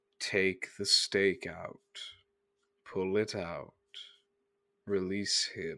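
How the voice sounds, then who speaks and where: A man in a put-on character voice speaks very slowly at a fairly low pitch with long, frequent pauses on a very clean recording with a silent background. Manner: monotone.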